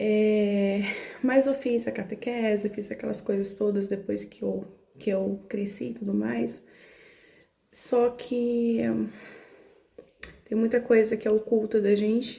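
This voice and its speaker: A soft-spoken woman with a Brazilian accent talks at a fairly high pitch in a flat, monotone way. Her pace is very slow, with long, frequent pauses. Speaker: spiritual content creator. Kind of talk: casual monologue about spirituality.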